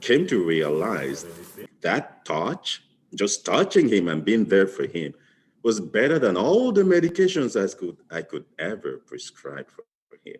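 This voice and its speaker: A man with a non-native accent speaks at a fairly slow pace. His loudness swings widely. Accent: foreign. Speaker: physician. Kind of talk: interview testimony.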